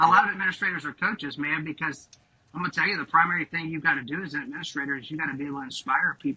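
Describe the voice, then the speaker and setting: A man with a Southern US accent talks at a very fast pace with fairly high pitch. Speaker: high school principal. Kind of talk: podcast interview. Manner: animated.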